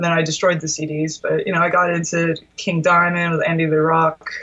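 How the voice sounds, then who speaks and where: A woman with a Philadelphia accent, fairly low in pitch, at a moderate pace. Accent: Philadelphia area American. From US Northeast, Delaware County outside Philadelphia. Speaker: guitarist. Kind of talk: casual interview chat.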